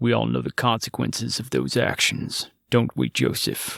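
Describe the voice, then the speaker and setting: Using a put-on character voice, a man speaks at a moderate pace in a dry, close sound with no echo. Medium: read story. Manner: sneering, taunting.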